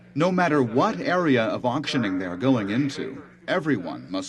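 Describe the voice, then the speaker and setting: A man at a medium pitch with lively intonation, plus noticeable background noise. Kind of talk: documentary narration.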